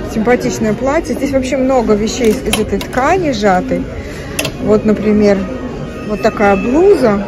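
A woman speaking at a fairly slow pace with ordinary pitch variation, clear music in the background. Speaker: shopping vlogger. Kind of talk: casual vlog commentary. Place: shop. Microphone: phone near.

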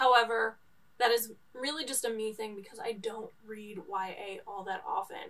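In an American accent, a woman with an ordinary speaking voice talks at a moderate pace and fairly high pitch with fairly even intonation. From New York. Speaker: book vlogger. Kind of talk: casual book review monologue. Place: home room.

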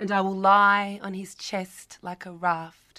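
A woman's bright, sharp, medium-pitched voice at a very slow pace, on a very clean recording with a silent background. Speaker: spoken word performer. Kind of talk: spoken word poetry performance. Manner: dynamic, sassy.

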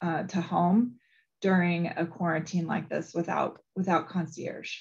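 The voice is somewhat breathy. The background is quiet. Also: woman. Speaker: knowledge program manager. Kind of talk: webinar presentation. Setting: video call. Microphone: video call.

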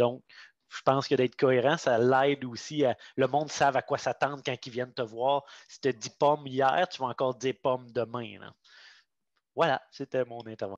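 A man speaks at a moderate pace in monotone, flat intonation with big swings in loudness, the sound dry with no echo and the background quiet. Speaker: pedagogical advisor. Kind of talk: online group discussion. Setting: video call. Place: home room. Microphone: headset.

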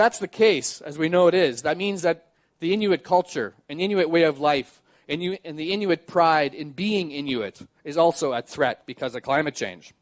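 A man with a Canadian accent and an ordinary speaking voice talks at a fairly high pitch and a moderate pace. His pitch varies in an ordinary way and his loudness swings widely, against a quiet background. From Canadian Prairies. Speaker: journalist and sailor; journalist. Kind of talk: public talk. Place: stage. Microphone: headset.

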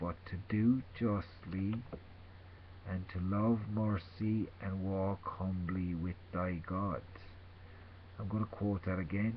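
Amid light background noise, a man with a very deep, low, somewhat breathy voice speaks very slowly in a flat monotone with long, frequent pauses. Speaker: religious vlogger. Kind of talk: informal sermon / scripture reading. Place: home room. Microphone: webcam.

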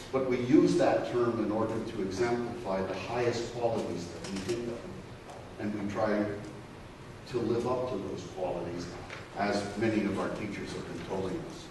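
Over noticeable background noise and audible room echo, a man talks at a moderate pace with a medium pitch. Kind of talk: conference presentation. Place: meeting room. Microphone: camera far.

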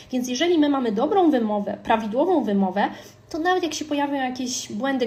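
A woman talks at a high pitch with noticeable background noise behind her. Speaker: language teacher. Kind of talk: casual tutorial. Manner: conversational with fillers.

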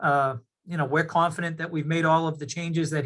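A man speaks very fast at a fairly high pitch, his intonation monotone and flat. The recording is very clean, with a silent background. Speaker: applicant's engineer presenting a project. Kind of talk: public meeting presentation.

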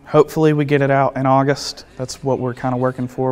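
A man's speech comes at a fairly quick pace with faint music behind it. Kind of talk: interview answer. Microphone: lapel.

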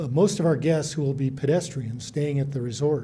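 A man speaks in a dark, mellow tone that is somewhat breathy. His intonation is fairly even, with light background noise behind him. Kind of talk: public meeting presentation. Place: hall.

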